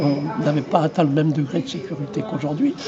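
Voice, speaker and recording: Against noticeable background noise, a man speaks fairly quickly in a fairly high pitch with ordinary pitch variation. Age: 80s+. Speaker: retired obstetrician. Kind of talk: interview. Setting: trade fair.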